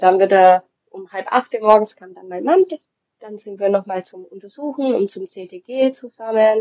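In a plain, everyday voice, a woman of medium pitch talks at a moderate pace with ordinary pitch variation and big swings in loudness. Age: 20s. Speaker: mother sharing birth experience. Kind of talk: testimony.

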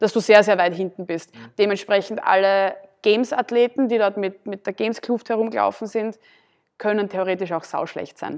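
A woman talks in a normal speaking voice at medium pitch. Her intonation is fairly even and her pace moderate. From Austria, southern Burgenland. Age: 20s. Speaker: CrossFit athlete and gym owner. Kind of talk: casual interview.

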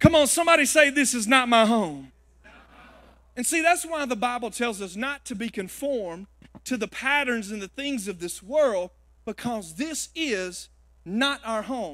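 On a very clean recording with a silent background, a man talks at a moderate pace in an extremely high pitch, his tone bright, sharp and animated and his intonation lively. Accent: Southern US. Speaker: guest preacher. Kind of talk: sermon. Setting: church with live congregation. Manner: animated, call-and-response, rallying the crowd; conversational, humorous, folksy.

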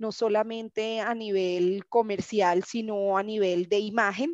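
Over a quiet background, a woman speaks at a medium pitch with monotone, flat intonation. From Colombia, Barranquilla. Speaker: sports marketing manager. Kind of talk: interview.

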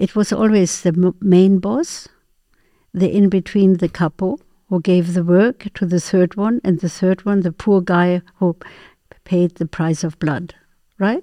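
A woman of medium pitch with a dark, mellow tone and ordinary pitch variation, dry and close with no echo, on a very clean recording with a silent background. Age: 80s. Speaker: artist and meditation trainer. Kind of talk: interview.

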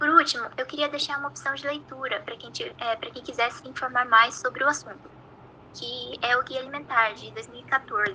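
With a Brazilian accent, a woman speaks at a high pitch with ordinary pitch variation amid noticeable background noise. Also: moderate pace, big swings in loudness. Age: 20s. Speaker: nutrition student, podcast co-host. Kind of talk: scripted educational explanation.

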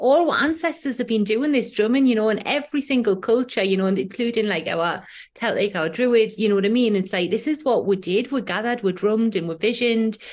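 In a strong Geordie accent, a woman rattles along at a very fast pace with hardly any pauses, her fairly high pitch carried by lively intonation. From Newcastle, northeast England. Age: 40s. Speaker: breathwork facilitator and shamanic practitioner. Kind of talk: casual interview chat, personal storytelling. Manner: chatty, conversational with fillers.

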